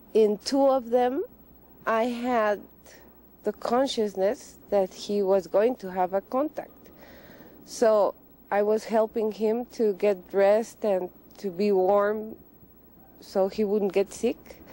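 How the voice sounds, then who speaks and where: A woman speaks at a very slow pace with long, frequent pauses, fairly even intonation, a dark, mellow tone and a dry sound with no echo. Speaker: interviewee. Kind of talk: interview answer. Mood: calm, reflective. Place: open country.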